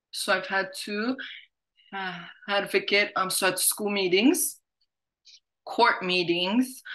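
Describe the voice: A woman speaks at a slow pace with a medium pitch, a fairly bright tone and ordinary pitch variation.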